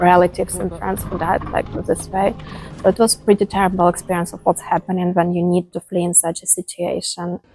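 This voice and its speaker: With music in the background, a woman talks at a fairly quick pace in a fairly low, monotone voice, the sound dry and close with no echo. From Ukraine. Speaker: war refugee and volunteer. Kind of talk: interview testimony. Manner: hesitant, many fillers.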